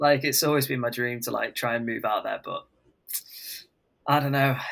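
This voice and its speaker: This man speaks with an English accent at a fairly high pitch. His pace is moderate and his intonation monotone and flat. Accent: English accent when speaking. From England. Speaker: country singer-songwriter. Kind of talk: casual interview chat.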